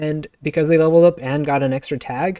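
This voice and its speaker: A man's dark, mellow voice, fairly high in pitch, with a dry, close sound and no echo. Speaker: indie game developer and video game streamer. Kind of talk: gameplay commentary. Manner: fast; animated.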